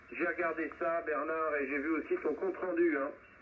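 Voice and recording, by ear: Fairly quick and fairly even in intonation, a man speaks with a fairly high pitch.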